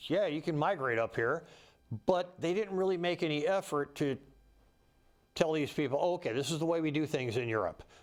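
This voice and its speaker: In a very clean recording with a silent background, a man speaks at a moderate pace with a fairly high pitch and ordinary pitch variation. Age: 60s. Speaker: political candidate. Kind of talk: political talk with slides. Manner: repetitive, casual.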